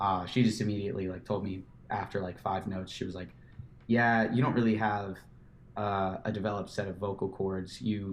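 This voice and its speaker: A man's fairly low, monotone voice at a fairly quick pace, with flat intonation over noticeable background noise. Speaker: musician and photographer. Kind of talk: casual chat.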